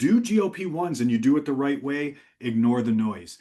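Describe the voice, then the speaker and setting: A man's voice with ordinary pitch variation. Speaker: physician. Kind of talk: webinar presentation. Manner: fast.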